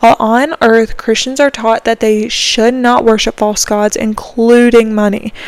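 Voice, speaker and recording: With a Southern US accent, a woman talks at a moderate pace in a fairly high pitch against noticeable background noise. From US South, South Carolina. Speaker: podcast host. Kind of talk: solo podcast monologue.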